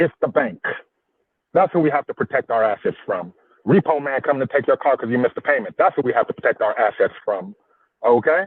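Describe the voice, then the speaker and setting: A man talks in an animated tone. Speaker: livestream co-host. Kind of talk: debate-style livestream discussion.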